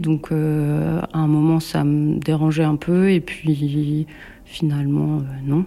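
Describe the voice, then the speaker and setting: Noticeable background noise accompanies a woman talking very slowly. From central France, Bourges. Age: 40s. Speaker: sculptor. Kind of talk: interview. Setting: home workshop. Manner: hesitant.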